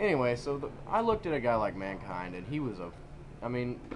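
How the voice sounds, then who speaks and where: A man speaks at a medium pitch. The room echo is audible, and background noise is noticeable. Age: 20s. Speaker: amateur wrestler. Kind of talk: casual chat.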